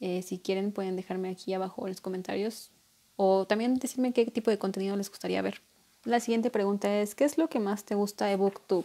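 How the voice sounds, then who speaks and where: A woman speaks at a fairly quick pace with fairly even intonation. Her tone is dark and mellow. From Mexico. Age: 20s. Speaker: booktuber. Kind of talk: casual vlog monologue. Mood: playful, self-mocking. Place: home room. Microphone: earbuds.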